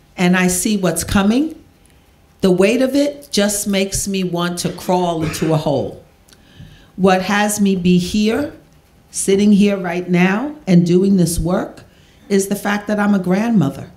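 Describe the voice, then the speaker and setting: With audible room echo, a woman at medium pitch speaks fairly slowly, her pitch varying in an ordinary way. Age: 60s. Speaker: drug policy activist. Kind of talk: Q&A panel answer.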